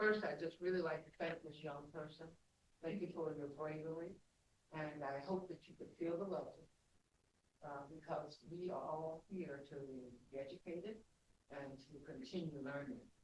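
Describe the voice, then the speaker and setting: A man with a fairly high pitch speaks at a moderate pace with fairly even intonation and long, frequent pauses. Audible room echo surrounds his voice. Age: 70s. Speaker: retired nurse, audience member. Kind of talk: audience comment.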